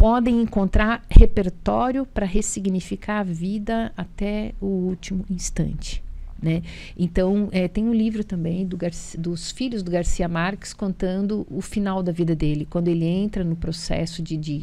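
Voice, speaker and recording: The voice has a dark, mellow tone and moves fairly slowly. Its pitch varies in an ordinary way. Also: woman. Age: 60s. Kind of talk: TV talk show conversation.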